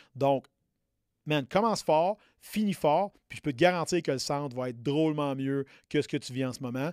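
A man with a Quebec accent speaks at a moderate pace and a fairly high pitch, with ordinary pitch variation, big swings in loudness and long, frequent pauses. The sound is dry and close with no echo, on a very clean recording with a silent background. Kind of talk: motivational pep talk. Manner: direct, punchy, urgent, hammering points with repeated 'OK?' and 'right?'.

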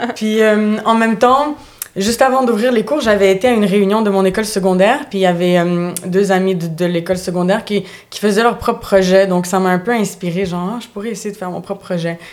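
Ordinary pitch variation marks this woman's unremarkable speaking voice as she talks at a fairly quick pace. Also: medium pitch for a woman. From Montreal, Quebec (born in Bulgaria). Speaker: dance and fitness instructor. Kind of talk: casual chat. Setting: studio.

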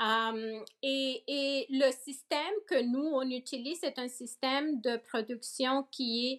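The woman's voice is high in pitch. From Nicaragua, moved to Toronto around age 14. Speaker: organic farm owner. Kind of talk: interview. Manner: hesitant, frequent fillers and repetitions; code-switching into English.

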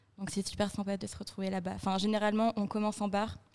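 The speaker is a woman. Her pitch is medium. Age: 20s. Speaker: communications student. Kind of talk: casual round-table chat.

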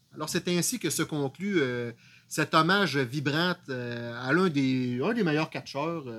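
Here a man speaks in a fairly high voice. His pace is very slow. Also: ordinary pitch variation. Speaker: wrestling podcast co-host. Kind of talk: casual chat.

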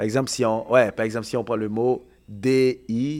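Recorded very cleanly against a silent background, a man speaks at a fairly slow pace and medium pitch in an ordinary speaking voice. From Haiti. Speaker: podcast panelist. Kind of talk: casual chat.

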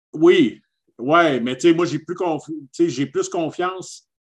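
Against a quiet background, a man speaks in a Quebec accent. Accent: Québécois French. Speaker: podcast co-host. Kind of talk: casual chat. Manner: animated.

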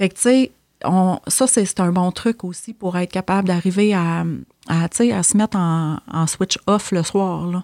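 With a Quebec accent, a woman of medium pitch speaks very slowly with ordinary pitch variation, on a very clean, dry, close recording with a silent background and no echo. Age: 40s. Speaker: social worker. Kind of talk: casual interview chat.

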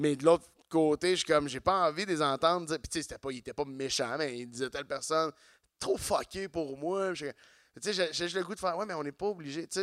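A man's plain, everyday voice, with ordinary pitch variation, big swings in loudness and a dry, close sound with no echo. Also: fairly high pitch for a man, fairly quick pace. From Quebec, Saint-Eustache. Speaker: comedian. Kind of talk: casual chat. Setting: stage with audience.

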